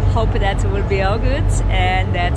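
There is music in the background while a woman speaks at a fairly slow pace. The sound is dry with no echo. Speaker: travel vlogger. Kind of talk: casual vlog chat. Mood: excited, hopeful. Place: boat. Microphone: phone near.

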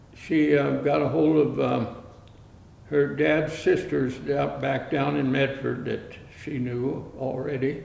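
A man speaks at a very slow pace. Audible room echo surrounds his voice. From Canada. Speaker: oral history narrator. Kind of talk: oral history interview. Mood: reflective, calm recollection. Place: studio.

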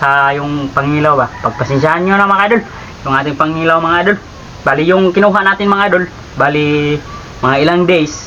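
Noticeable background noise behind a fairly quick male voice pitched fairly high. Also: ordinary pitch variation, very even loudness. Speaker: vlogger. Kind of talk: casual vlog chat. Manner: laughing often.

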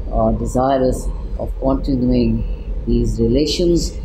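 A man talks very slowly while noticeable background noise continues underneath. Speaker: interviewee. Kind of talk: interview answer. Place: studio.

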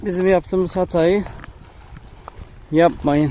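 With a high pitch and a slightly mellow tone, a man speaks at a fairly slow pace.

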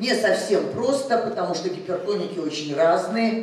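Amid light background noise and audible room echo, a woman speaks with lively intonation. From Russia. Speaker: cardiology professor. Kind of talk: medical conference lecture. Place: hall.

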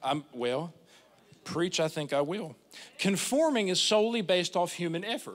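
A man speaks at a moderate pace with very wide pitch swings. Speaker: preacher. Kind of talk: sermon. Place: church. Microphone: handheld.

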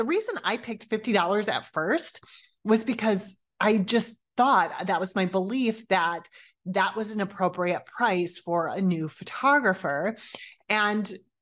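A woman talks at a fairly slow pace with ordinary pitch variation. The background stays quiet. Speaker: podcast host. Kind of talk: podcast monologue. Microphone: studio mic.

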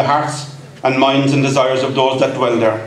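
There is audible room echo and some light background noise as a man talks. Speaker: event MC. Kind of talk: after-dinner speech. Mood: warm, humorous. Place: hall. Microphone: podium.

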